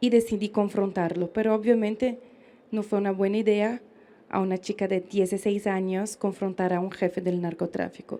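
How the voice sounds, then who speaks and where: Speaking with a Brazilian accent, a woman has a fairly high pitch and a dark, mellow tone. Her pace is fairly slow and her intonation fairly even. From Brazil, interior of São Paulo state. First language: Portuguese (speaking Spanish). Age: 20s. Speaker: pro-life speaker. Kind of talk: public speech testimony.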